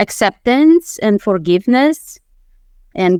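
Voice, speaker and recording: With a Romanian accent, the speaker's voice sounds dry and close, with no echo. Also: woman. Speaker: mindset coach and former attorney. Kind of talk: interview.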